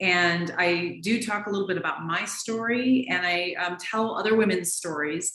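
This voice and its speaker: A woman with an American accent speaks at a moderate pace and medium pitch with ordinary pitch variation and hardly any pauses, with audible room echo and noticeable background noise. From US Pacific Northwest, Seattle. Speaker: naturopathic physician. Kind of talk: interview.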